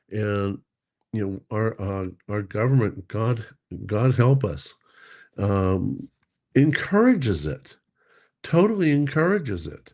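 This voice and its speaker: Very slow, lively American-accented speech with long, frequent pauses over a quiet background. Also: man, medium pitch for a man. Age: 60s. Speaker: precious metals stacker, co-host. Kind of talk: casual livestream chat. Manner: halting, many fillers.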